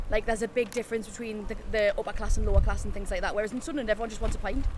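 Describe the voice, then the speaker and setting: Noticeable background noise behind a woman's very fast pace. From Newcastle area, north-east England. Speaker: call centre worker. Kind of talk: casual chat.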